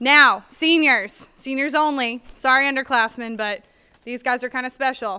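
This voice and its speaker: A woman speaks in a raised, projected voice. Her tone is bright and sharp, with ordinary pitch variation. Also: quiet background. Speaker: school staff announcer. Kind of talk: school announcements. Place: hall. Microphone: studio mic.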